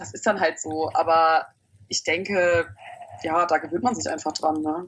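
A woman speaks at a fairly slow pace. Her voice has vocal fry. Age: 20s. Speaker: opera singing student. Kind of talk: interview.

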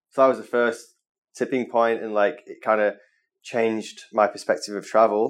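Over a quiet background, someone with a Mancunian accent talks at a very fast pace. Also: man. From northern England, Manchester. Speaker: travel photographer. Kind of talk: interview. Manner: casual, filler-heavy.

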